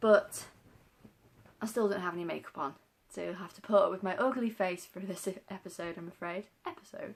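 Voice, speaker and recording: A woman speaks in a British accent at a moderate pace and medium pitch. Her pitch variation is ordinary, and vocal fry comes through. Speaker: vlogger. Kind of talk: casual vlog. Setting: home, daughter asleep. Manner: soft-spoken.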